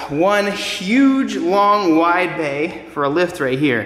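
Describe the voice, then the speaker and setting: Lively intonation marks a man's very slow delivery. Audible room echo surrounds him. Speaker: car vlogger. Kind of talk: casual vlog chat. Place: garage. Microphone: phone near.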